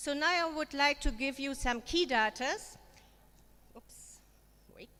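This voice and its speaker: Here a woman with a German accent talks at a fairly slow pace in a high pitch, her tone bright and sharp. Her pitch variation is ordinary, while her loudness swings widely. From Germany. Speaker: education consultant. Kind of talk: conference presentation. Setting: forum with audience.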